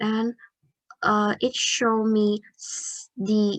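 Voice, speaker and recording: A woman speaks at a very slow pace in a fairly high voice. The sound is dry and close, without echo. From Vietnam. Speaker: student. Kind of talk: project demo walkthrough. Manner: halting.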